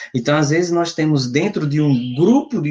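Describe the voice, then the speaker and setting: A man with an ordinary speaking voice talks in a fairly high pitch with lively intonation. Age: 30s. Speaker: youth ministry speaker. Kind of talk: lecture.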